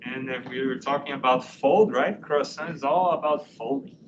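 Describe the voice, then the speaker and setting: Amid audible room echo, a man with a fairly high pitch talks at a moderate pace with ordinary pitch variation. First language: not English. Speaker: university professor. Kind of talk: lecture.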